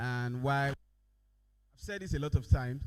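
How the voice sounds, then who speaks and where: A man with a fairly high voice speaks at a fairly slow pace, his pitch varying in an ordinary way. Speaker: company managing director. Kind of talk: conference presentation.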